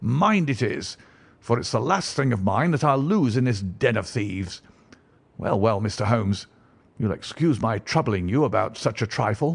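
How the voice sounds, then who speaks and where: A man puts on a raspy character voice at a medium pitch, speaking at a moderate pace with lively intonation. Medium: read story. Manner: blunt, blustering.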